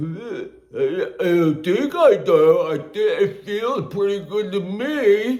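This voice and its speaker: A man puts on a character voice. It is high in pitch. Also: fairly slow pace. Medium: solo performance. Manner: hesitant, stammering.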